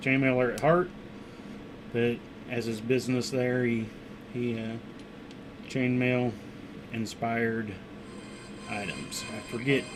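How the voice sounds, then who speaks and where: Mumbled speech comes at a fairly slow pace with long, frequent pauses over noticeable background noise. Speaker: maker livestreamer. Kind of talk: casual livestream commentary while working. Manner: mumbling.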